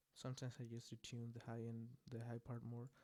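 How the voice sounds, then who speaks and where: A man with a non-native accent speaks at a moderate pace in a dark, mellow tone and a monotone, flat intonation. The sound is dry and close, with no echo. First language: not English. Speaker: music producer. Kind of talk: tutorial. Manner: casual, hesitant with fillers. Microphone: volume gets too quiet at points.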